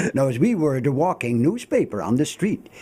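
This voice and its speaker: Amid noticeable background noise, a man speaks at a fairly quick pace with very wide pitch swings. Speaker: town crier. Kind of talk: radio interview answer, conversational explanation.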